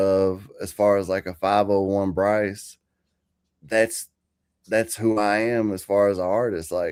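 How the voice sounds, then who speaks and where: In a very clean recording with a silent background, a man talks very slowly. His fairly low voice stays flat and monotone. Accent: American. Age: 40s. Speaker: country rapper. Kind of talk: interview. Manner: halting.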